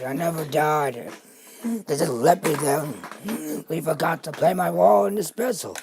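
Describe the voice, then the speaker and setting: The speaker uses a put-on character voice, raspy and middle in pitch. The pace is moderate. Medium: machinima.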